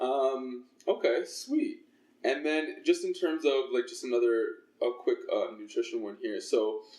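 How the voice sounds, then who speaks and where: A man with a Toronto accent at a moderate pace. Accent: Canadian English (Toronto). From Toronto, Canada (Scarborough). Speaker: fitness trainer and podcast host. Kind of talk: casual interview chat.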